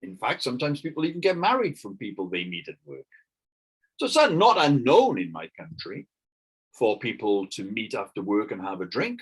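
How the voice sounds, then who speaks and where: A man speaks with a British accent. His loudness swings widely. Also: moderate pace. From Britain. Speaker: English teacher. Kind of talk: online lesson.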